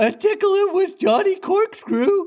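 A man puts on a character voice, a squeaky falsetto pitched extremely high. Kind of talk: comic overacting. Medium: read story. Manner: eager, servile.

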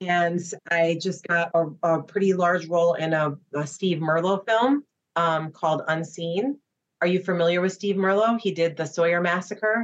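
A woman with a Midwestern US accent, fairly low pitch, ordinary pitch variation, a moderate pace and very even loudness. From Chicago, US Midwest. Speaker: actress. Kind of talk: casual interview chat.

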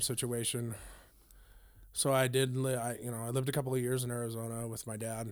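In an American accent, a man talks fairly quickly at medium pitch with monotone, flat intonation and audible room echo. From Northern California (Grass Valley / Lake Tahoe area). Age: 40s. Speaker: punk drummer. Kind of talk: casual interview. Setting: band practice space.

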